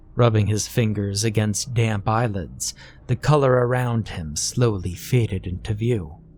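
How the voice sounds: Fairly even intonation in a natural reading voice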